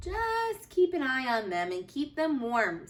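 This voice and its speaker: A woman puts on a character voice, pitched high with very wide swings, speaking at a fairly slow pace over light background noise. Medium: read story.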